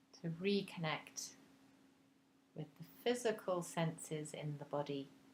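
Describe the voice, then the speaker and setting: A woman with a very deep, low pitch and a somewhat breathy voice speaks at a very slow pace, her pitch varying in an ordinary way. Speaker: meditation guide. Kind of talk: guided meditation. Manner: slow, soft-spoken.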